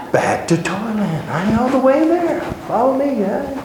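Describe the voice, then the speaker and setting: A man's voice comes through noticeable background noise with audible room echo. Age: 60s. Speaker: Bible teacher. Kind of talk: Bible study class teaching. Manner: animated.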